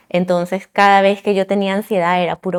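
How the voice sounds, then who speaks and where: Her pitch is medium and her delivery fairly quick as this woman talks. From Venezuela (La Guaira) then Miami from age 9. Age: 30s. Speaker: civil engineer. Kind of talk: testimony. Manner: halting.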